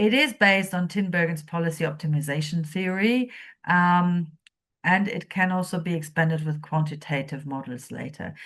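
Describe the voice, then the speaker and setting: A woman's very deep, low voice with a non-native accent, somewhat breathy, at a moderate pace. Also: quiet background. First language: not English. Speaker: policy researcher presenting a training module. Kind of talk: lecture. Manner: hesitant, many fillers.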